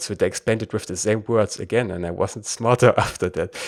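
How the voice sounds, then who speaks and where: A man speaks with a German accent on a very clean recording with a silent background. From Germany. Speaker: podcast host. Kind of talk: interview.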